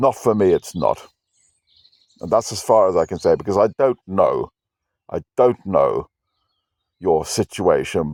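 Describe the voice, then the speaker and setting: Fairly quick and intense in tone, a man with a British accent speaks in a dry, close sound with no echo and a very clean recording with a silent background. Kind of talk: personal rant to camera. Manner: aggressive-sounding, intense; halting, repetitive.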